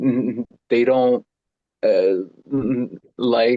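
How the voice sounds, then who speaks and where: The delivery is very slow. An American accent comes through. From US, Mexican American family. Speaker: discussion participant. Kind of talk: group discussion. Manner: halting, repeats words.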